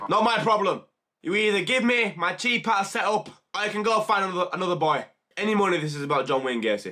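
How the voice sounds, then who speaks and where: Raising and projecting his voice, a man with a high pitch talks at a very fast pace in an animated tone with lively intonation. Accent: British. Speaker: YouTube reaction streamer. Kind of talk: casual reaction commentary.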